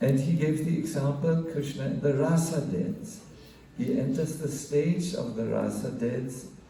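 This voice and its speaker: Amid noticeable background noise and audible room echo, a man with a fairly high pitch speaks with ordinary pitch variation. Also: fairly slow pace. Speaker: monk giving a spiritual class. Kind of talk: religious lecture. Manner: halting, many fillers.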